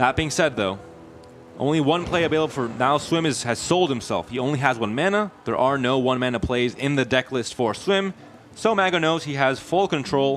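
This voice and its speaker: With music in the background, a man talks in a fairly high voice with lively intonation. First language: Spanish. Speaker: esports caster. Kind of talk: live commentary.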